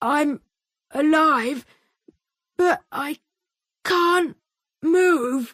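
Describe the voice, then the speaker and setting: A woman puts on a character voice with a high pitch. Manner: very slow.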